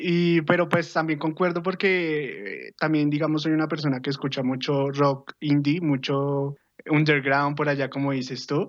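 In an ordinary speaking voice, a man speaks fairly slowly at a fairly high pitch with fairly even intonation over a quiet background. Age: 20s. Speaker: podcast guest. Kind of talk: casual chat.

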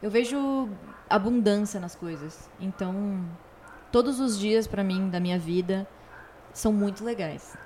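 At a fairly slow pace, a woman speaks in a somewhat breathy, dark, mellow voice of medium pitch, with ordinary pitch variation and long, frequent pauses. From Rio Grande do Sul, Brazil (Torres, Porto Alegre). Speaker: singer-songwriter and voice actress. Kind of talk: casual interview. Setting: host's home.

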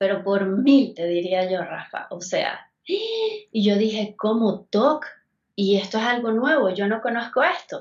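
Somewhat breathy, a woman speaks at a very slow pace in a fairly high pitch with ordinary pitch variation. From Venezuela. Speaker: guest sharing recovery story. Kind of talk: testimony.

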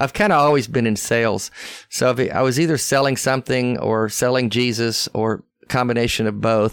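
A man in a Southern US accent, with very even loudness. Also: medium pitch for a man, ordinary pitch variation, fairly quick pace, very clean recording, silent background. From US South. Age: 60s. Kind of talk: casual interview chat. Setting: in person.

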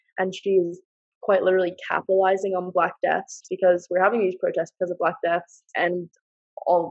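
A woman with a New Jersey accent talks at a fairly quick pace. The sound is dry and close, with no echo. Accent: American (New Jersey). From US, New Jersey. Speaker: university student. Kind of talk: casual chat.

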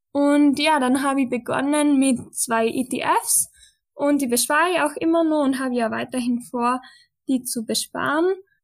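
A high-pitched woman speaks at a fairly slow pace with ordinary pitch variation. The recording is very clean, with a silent background. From western Austria. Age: 20s. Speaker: podcast co-host, student. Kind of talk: casual chat.

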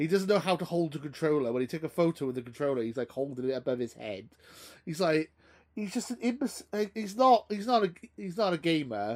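Very wide pitch swings and a very fast pace mark this voice with a Welsh accent. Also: man, fairly high pitch for a man. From Wales. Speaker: podcast host.

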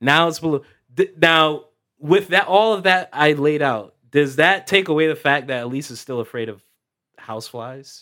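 A man speaks at a moderate pace in a fairly high voice, with lively intonation and big swings in loudness. His is an unremarkable speaking voice. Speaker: podcast co-host.

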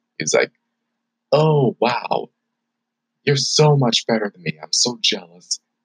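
Speaking at a very slow pace with long, frequent pauses, a man uses a medium pitch with very wide pitch swings. His somewhat breathy voice comes through in a dry, close sound with no echo. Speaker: podcast host and college student. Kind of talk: casual solo podcast monologue. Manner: casual, chatty.

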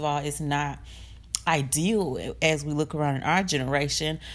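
At a moderate speed, a woman speaks with a very deep, low pitch. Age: 20s. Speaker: podcast host and college student. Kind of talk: casual personal monologue, faith testimony. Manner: unscripted, conversational with fillers.

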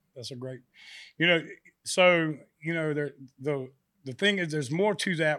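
A man with a Southern US accent at a fairly high pitch, bright and sharp in tone, moderate in pace, with ordinary pitch variation, big swings in loudness and long, frequent pauses, in a very clean recording with a silent background. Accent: Southern US (Georgia). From US South, South Georgia. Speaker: country singer. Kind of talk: casual interview chat. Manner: halting, many fillers.

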